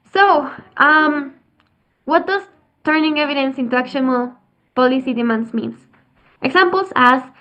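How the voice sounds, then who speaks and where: A woman's high-pitched voice at a moderate pace, with a Spanish accent. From Mexico. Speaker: youth climate advocate, biotechnology engineer. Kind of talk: presentation. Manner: halting.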